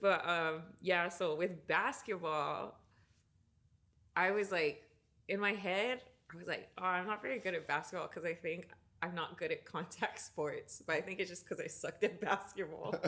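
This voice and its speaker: A woman speaks at a medium pitch with a bright, sharp tone. Her pace is moderate, and her pitch variation is ordinary. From Hawaii. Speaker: musician and jiu-jitsu student. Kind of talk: casual chat.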